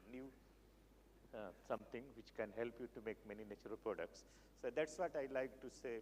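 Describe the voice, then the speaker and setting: A man speaks at a moderate pace in a medium pitch. His intonation is lively, with some vocal fry. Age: 70s. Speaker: research chemist. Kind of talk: lecture. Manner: halting.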